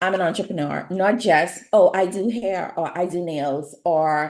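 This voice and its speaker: With a Bahamian accent, a woman speaks at a medium pitch using lively intonation. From Bahamas. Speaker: nail artist and beauty business educator. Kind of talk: webinar presentation.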